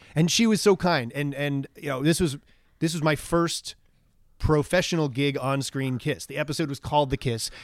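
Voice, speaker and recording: A man with an American accent and an ordinary speaking voice talks at a moderate pace, fairly high in pitch with ordinary pitch variation. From US Northeast, Long Island, New York. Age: 40s. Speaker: actor. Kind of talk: casual chat.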